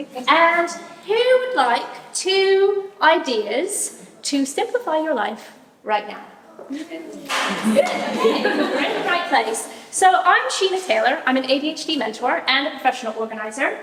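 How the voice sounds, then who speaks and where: A loud woman's voice, high-pitched with very wide pitch swings, at a fairly slow pace, with noticeable background noise and audible room echo. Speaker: ADHD mentor and professional organizer. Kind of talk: talk to a live audience.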